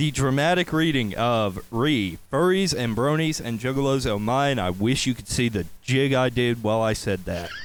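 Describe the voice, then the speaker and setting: A man of medium pitch with a slight Southern accent, lively intonation and hardly any pauses. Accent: slight southern drawl. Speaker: podcast host. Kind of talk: casual chat.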